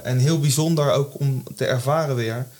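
Somewhat breathy, a man speaks at medium pitch and a moderate pace with fairly even intonation. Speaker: amateur theatre actor. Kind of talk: casual chat. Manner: halting.

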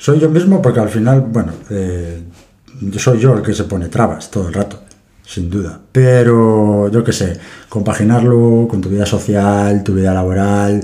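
Audible room echo surrounds a man whose dark, mellow tone moves at a fairly slow pace. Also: fairly low pitch for a man, ordinary pitch variation. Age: 30s. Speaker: forklift operator and amateur triathlete. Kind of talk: interview.

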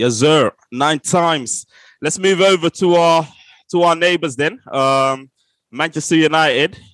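A man's fairly high, animated voice at a fairly slow pace, with ordinary pitch variation, very even loudness and a quiet background. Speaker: podcast host. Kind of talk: casual football chat. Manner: animated, informal.

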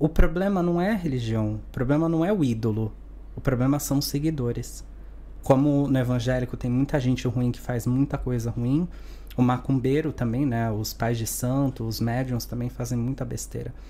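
At a moderate pace, the voice offers a dark, mellow tone with ordinary pitch variation. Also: man, medium pitch for a man. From Santos, São Paulo, Brazil. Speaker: spiritualist, Umbanda practitioner. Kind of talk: podcast interview.

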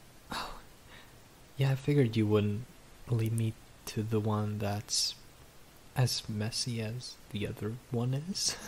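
In a medium pitch and a nervous, gentle tone, a man sounds somewhat breathy and takes long, frequent pauses. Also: fairly even intonation. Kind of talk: ASMR roleplay, intimate whispered scripted-feeling scene with a listener. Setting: close-mic ASMR recording. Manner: shy, flustered, stammering and bashful, with nervous laughs and hesitant restarts; soft, tender, gentle and intimate, winding down sleepily.

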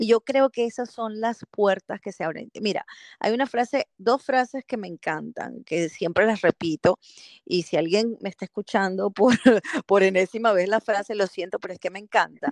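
This woman has an unremarkable speaking voice, medium in pitch, with ordinary pitch variation and a moderate pace. The sound is dry and close with no echo, against a quiet background. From Venezuela, Caracas. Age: 40s. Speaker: marketing professional and speaker. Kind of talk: interview.

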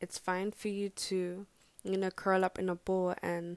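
At a medium pitch and a fairly slow pace, a woman speaks in a flat monotone, recorded very cleanly with a silent background and a dry, close sound with no echo. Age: 20s. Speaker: podcast host. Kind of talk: spoken word poem, read aloud, then reflective personal talk. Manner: earnest, intimate, soft-toned; hesitant, many filler words.

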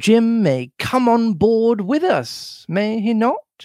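This put-on character voice moves at a slow pace, with big pitch swings, a slightly mellow tone, and a dry, close sound with no echo. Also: man, extremely high pitch for a man.

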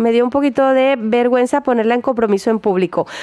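A woman with a high pitch sounds animated, with noticeable background noise behind her. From Colombia, Barranquilla. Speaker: radio host. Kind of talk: casual radio chat.

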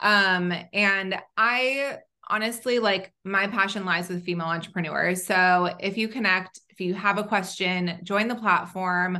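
With an American accent, a woman at medium pitch speaks at a fairly slow pace. Her tone is bright and sharp, with fairly even intonation. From Southern California. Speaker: tech founder. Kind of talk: interview.

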